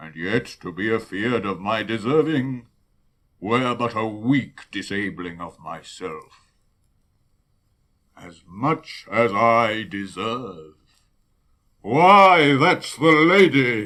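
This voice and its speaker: In a put-on character voice at a medium pitch, a man speaks at a very slow pace with long, frequent pauses, very wide pitch swings and big swings in loudness. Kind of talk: classical Shakespearean verse acting. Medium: audio drama. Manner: grand, rhetorical.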